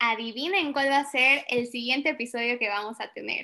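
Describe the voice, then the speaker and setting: Projecting her raised voice, a woman speaks at a high pitch. Her tone is bright and sharp, with ordinary pitch variation. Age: 20s. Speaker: podcast co-host, community worker. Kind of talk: casual chat.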